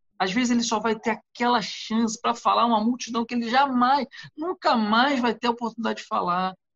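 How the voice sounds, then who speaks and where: A man at a moderate pace. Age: 30s. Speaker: pastor and psychologist. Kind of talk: casual chat.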